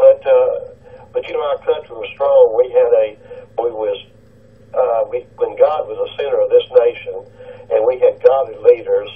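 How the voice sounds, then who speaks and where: A man talks at a moderate pace with a Tennessee accent. His pitch is extremely high and his intonation is monotone and flat. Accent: US South, Tennessee. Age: 60s. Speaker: caller, retired police officer. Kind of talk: call-in radio talk. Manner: halting.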